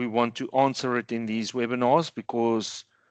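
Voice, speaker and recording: Man with a normal speaking voice, medium pitch, fairly even intonation and a moderate pace. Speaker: tax accountant presenting a webinar. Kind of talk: webinar presentation with Q&A. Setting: online webinar.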